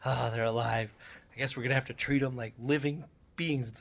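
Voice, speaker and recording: Using a put-on character voice, a man speaks at a fairly quick pace with a raspy sound and a medium pitch. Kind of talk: flat, grudging. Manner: disappointed, reluctantly dutiful.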